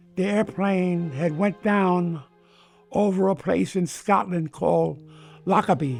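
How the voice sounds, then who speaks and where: With music in the background, a speaker with an American accent talks at a fairly slow pace. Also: man. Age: 80s+. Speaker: war veteran; retired police detective. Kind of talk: interview answer.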